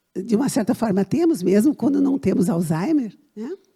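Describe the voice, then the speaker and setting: With a dark, mellow tone and a fairly high pitch, a woman speaks at a moderate pace in a somewhat breathy voice with very wide pitch swings. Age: 70s. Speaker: visual artist. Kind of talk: panel talk. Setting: auditorium with audience. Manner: animated.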